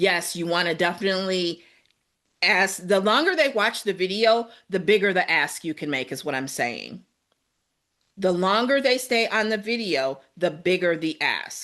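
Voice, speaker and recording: The voice has a bright, sharp tone and lively intonation at a moderate pace. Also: woman, medium pitch for a woman. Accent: strong Midwest. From US Midwest. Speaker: podcast co-host giving podcasting advice.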